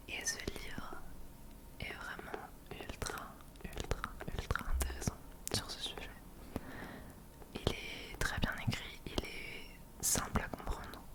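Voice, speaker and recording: A woman whispers at a very slow pace, with long, frequent pauses. Background noise is noticeable. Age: 20s. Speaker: ASMR creator. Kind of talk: ASMR monthly favourites talk. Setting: home webcam recording. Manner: whispered.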